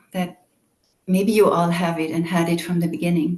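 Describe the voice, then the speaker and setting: Somewhat breathy, a woman with a European accent speaks at a moderate pace in a dark, mellow tone. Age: 50s. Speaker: meditation teacher. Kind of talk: guided meditation introduction. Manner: calm, gentle.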